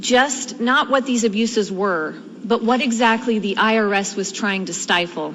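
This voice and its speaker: Against noticeable background noise, a woman speaks calmly at a moderate pace, with a fairly high pitch and ordinary pitch variation. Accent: American. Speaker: tea party activist. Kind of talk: congressional testimony. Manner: calm, matter-of-fact.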